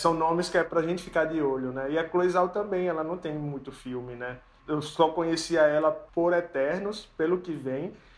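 Hardly any pauses break up a man's a plain, everyday voice, which sits fairly high and keeps fairly even intonation at a moderate pace. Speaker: podcast owner and co-host. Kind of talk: casual chat.

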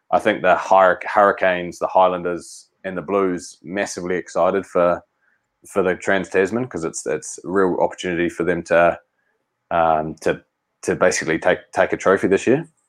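A man with a New Zealand accent at a moderate pace, against a quiet background. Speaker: professional rugby player. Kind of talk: casual chat.

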